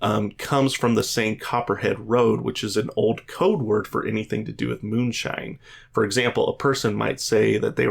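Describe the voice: The delivery is plain reading aloud. Nothing more is added to it.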